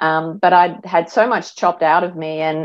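With an Australian accent, a woman speaks at a fairly slow pace and a fairly low pitch. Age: 50s. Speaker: mindset and life coach. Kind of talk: interview.

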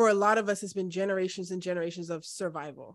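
A woman with an unremarkable speaking voice talks at a medium pitch with fairly even intonation in a very clean recording with a silent background. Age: 30s. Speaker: podcast host and project manager. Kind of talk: interview conversation.

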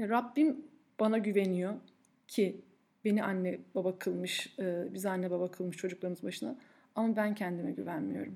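The woman's tone is dark and mellow. She keeps a moderate pace. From Turkey, Ankara. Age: 30s. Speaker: podcast host and food blogger. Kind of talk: personal monologue. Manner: frequent filler hesitations.

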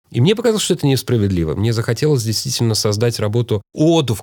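A man's plain, everyday voice, medium in pitch, with lively intonation. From Moscow, Russia. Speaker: writer and actor. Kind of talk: interview.

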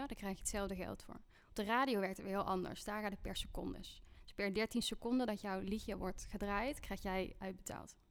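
A fairly quick pace in a plain, everyday voice, with fairly even intonation. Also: woman. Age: 30s. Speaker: music artist manager. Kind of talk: casual interview.

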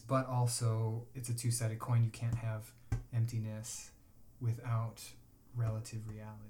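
With an American accent, a man speaks at a moderate pace and medium pitch, his somewhat breathy voice dark and mellow in tone, his intonation monotone and flat. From Chicago. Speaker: acupuncturist. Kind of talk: casual chat.

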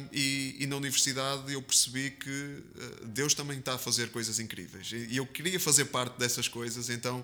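A man with a Porto accent, medium pitch, a bright, sharp tone and monotone, flat intonation. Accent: northern European Portuguese (Porto). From Porto, northern Portugal. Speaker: evangelical pastor. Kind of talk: interview testimony. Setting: studio, seated beside host.

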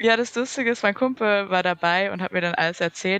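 A woman with an ordinary speaking voice talks, her pitch shifting in an ordinary way. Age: 20s. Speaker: podcast guest. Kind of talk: casual chat.

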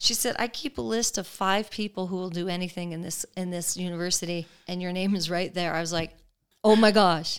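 Speaking with an American accent, a woman with an unremarkable speaking voice keeps a medium pitch and ordinary pitch variation at a fairly quick pace, on a very clean recording with a silent background. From Colorado, US. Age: 50s. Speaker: mayor and former state legislator. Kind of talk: interview. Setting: guest's home.

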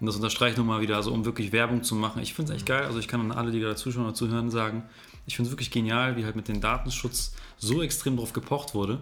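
This man speaks extremely quickly. His voice sits at a medium pitch. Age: 20s. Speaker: podcast host. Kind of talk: interview. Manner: animated.

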